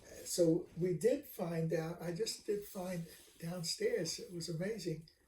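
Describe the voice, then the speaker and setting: Fairly even intonation at a fairly slow pace. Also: man, high pitch for a man. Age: 80s+. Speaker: retired professor. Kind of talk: casual chat. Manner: halting.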